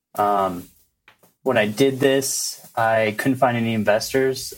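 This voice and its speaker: A man with an ordinary speaking voice talks at medium pitch with fairly even intonation. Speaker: first-time real estate investor. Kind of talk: advice call-in Q&A.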